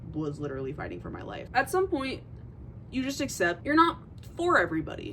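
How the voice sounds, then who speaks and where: A woman with a high pitch and very wide pitch swings talks at a fairly quick pace over noticeable background noise. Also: big swings in loudness. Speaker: vlogger. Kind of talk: casual chat. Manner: halting.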